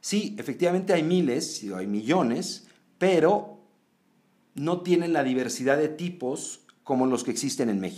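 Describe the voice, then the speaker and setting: A man's fairly high voice with a dark, mellow tone, fairly slow delivery and very wide pitch swings. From Mexico. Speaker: podcast host. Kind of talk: scripted narration; interview.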